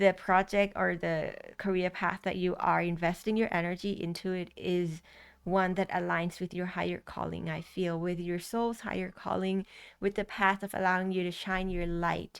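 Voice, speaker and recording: At a moderate pace, the speaker talks with a Thai accent in a monotone, flat intonation. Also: woman, medium pitch for a woman. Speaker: tarot reader. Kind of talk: tarot reading to camera. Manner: halting, many fillers and restarts.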